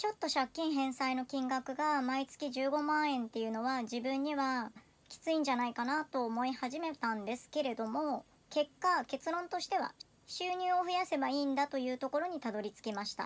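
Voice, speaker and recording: A woman's high-pitched voice moves at a moderate pace, its pitch varying in an ordinary way. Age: 30s. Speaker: personal finance vlogger. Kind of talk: personal video monologue. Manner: polite. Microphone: phone near.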